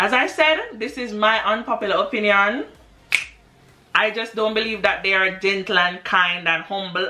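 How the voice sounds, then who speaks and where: This woman has an ordinary speaking voice at medium pitch. Her pitch varies in an ordinary way. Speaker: English teacher in Japan. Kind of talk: casual talk to camera.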